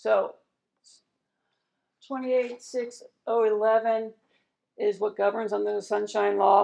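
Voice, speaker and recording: This woman speaks at a fairly high pitch. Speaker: county attorney presenting to a board. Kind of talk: training presentation at a public meeting. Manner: fast.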